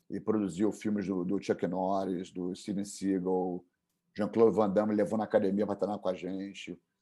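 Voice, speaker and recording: Captured on a very clean recording with a silent background, a man has an unremarkable speaking voice, fairly low in pitch, at a moderate pace. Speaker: jiu-jitsu instructor. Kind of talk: interview.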